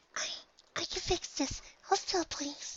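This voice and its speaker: A man's squeaky, whispered put-on character voice at a fairly slow pace. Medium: read story. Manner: soft-spoken, hesitant, stammering.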